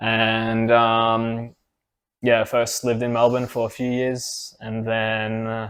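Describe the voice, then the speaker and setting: A man speaks in an Australian accent. His intonation is monotone and flat. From Australia (from Ukraine at six). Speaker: IT professional, podcast co-host. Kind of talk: casual chat.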